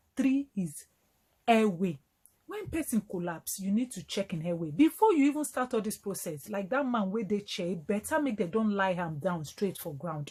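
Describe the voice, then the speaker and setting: A woman speaks in a dark, mellow tone that is somewhat breathy. Her pitch swings very widely. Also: medium pitch for a woman, moderate pace. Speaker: doctor. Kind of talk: health education talk to camera in Nigerian Pidgin.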